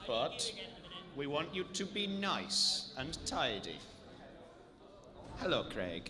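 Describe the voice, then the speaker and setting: A man at a very slow pace, with long, frequent pauses, audible room echo and noticeable background noise. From northern England, Manchester. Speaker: event commentator. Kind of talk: live commentary. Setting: live event venue.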